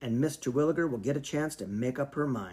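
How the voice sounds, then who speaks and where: Putting on a raspy character voice, a man at a medium pitch talks at a fairly quick pace with lively intonation. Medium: read story. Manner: gruff, insistent.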